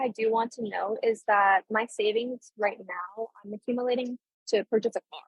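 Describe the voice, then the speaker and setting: A woman talks at a moderate pace with fairly even intonation and big swings in loudness. Hers is a plain, everyday voice. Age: 20s. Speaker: law student and legal assistant. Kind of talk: casual interview about personal finances.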